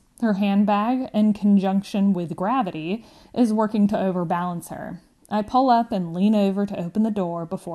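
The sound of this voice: The voice reads without forcing. It stays unforced.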